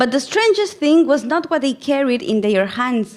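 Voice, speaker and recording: Talking at a moderate pace, a woman with a Spanish accent swings very widely in pitch. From Ecuador. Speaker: missiologist and plenary speaker. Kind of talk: conference lecture with storytelling.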